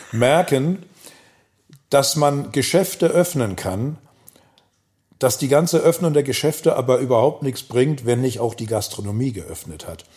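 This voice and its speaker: A man speaks with a Hamburg accent in a fairly high, somewhat breathy voice. His intonation is lively, and he leaves long, frequent pauses. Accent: Hamburg accent, clearly audible. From Hamburg (Volksdorf), northern Germany. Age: 60s. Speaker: pub owner and local web platform founder. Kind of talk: casual interview.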